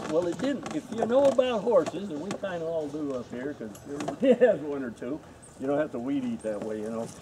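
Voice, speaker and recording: A man's fairly high voice at a very fast pace, with very wide pitch swings and noticeable background noise. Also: big swings in loudness. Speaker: former film crew member and extra. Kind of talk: panel Q&A storytelling. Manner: loud.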